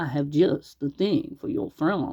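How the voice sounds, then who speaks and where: A put-on character voice sits at a middle pitch. It moves at a fairly slow pace. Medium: read story.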